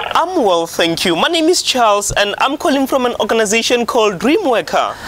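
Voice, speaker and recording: At an extremely high pitch, a man talks at a fairly quick pace with very wide pitch swings. Noticeable background noise sits behind him. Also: very even loudness. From South Africa. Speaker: reality show contestant, salesperson. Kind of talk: sales pitch.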